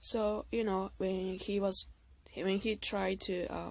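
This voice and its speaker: A woman speaks with a non-native accent. She talks at a fairly slow pace. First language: not English. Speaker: video blogger, abuse survivor. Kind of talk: personal testimony monologue. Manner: halting, self-correcting.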